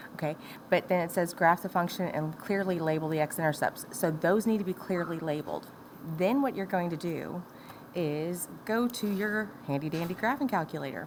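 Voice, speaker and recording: A woman with a normal speaking voice, fairly low in pitch, at a moderate pace with ordinary pitch variation. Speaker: math teacher. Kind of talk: tutorial.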